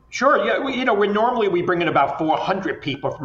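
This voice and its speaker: Over noticeable background noise, a man talks at a very fast pace. His high pitch swings very widely. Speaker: festival founder and wine industry communications exec. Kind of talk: casual interview chat.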